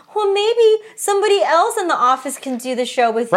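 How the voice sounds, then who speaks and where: In a put-on character voice, a woman speaks croakily at an extremely high pitch and a fairly quick pace, her pitch swinging very widely. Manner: sad.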